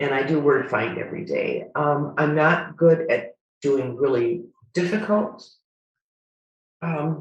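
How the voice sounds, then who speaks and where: A woman with an American accent talks in a somewhat breathy voice, her pitch varying in an ordinary way. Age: 70s. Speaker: retired nurse. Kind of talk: casual chat. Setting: video call.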